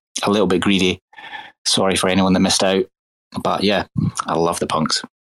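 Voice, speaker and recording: A man's very deep, low voice, heard dry and close with no echo. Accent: Scottish. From Scotland. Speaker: NFT collector. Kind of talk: casual chat.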